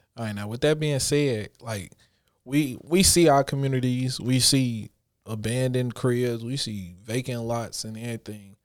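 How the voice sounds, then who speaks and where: The man's medium-pitched voice moves at a moderate pace, with ordinary pitch variation and big swings in loudness. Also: very clean recording, silent background. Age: 30s. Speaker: podcast host. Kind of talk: casual chat.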